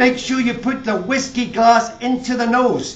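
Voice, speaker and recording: In a Scottish accent, a man speaks at an extremely high pitch with fairly even intonation. His pace is fairly slow, and there is noticeable background noise. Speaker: master whisky blender. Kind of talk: humorous live talk at a whisky show.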